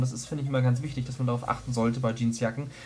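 Music plays in the background as a man talks with a fairly high pitch. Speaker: fashion vlogger. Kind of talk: casual talk to camera.

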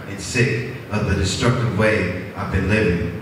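A man at a fairly slow pace, with strong room echo and noticeable background noise. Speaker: open mic poet. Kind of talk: spoken word poetry.

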